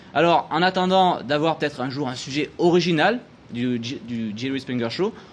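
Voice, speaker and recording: A man with a Marseille accent speaks with lively intonation. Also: fairly high pitch for a man, moderate pace. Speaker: TV columnist. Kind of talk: TV studio chronicle presentation. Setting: TV studio with audience.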